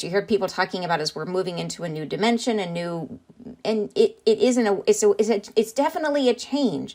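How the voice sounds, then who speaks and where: In a very clean recording with a silent background, a woman of medium pitch talks at a fairly quick pace with lively intonation. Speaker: trance channeler. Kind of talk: spiritual talk explaining a channeled message. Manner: halting with many fillers.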